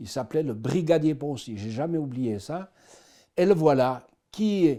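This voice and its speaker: On a very clean recording with a silent background, a man with a slight Swiss French accent talks fairly slowly at a fairly high pitch, his tone dark and mellow, his intonation lively and his loudness swinging widely. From Switzerland, Swiss Jura. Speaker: person giving faith testimony. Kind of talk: testimony.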